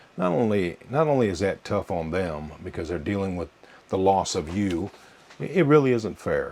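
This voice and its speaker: At a moderate pace, a man speaks in a fairly low pitch against noticeable background noise. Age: 60s. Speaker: lifestyle vlogger for seniors. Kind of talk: casual talk to camera. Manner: halting.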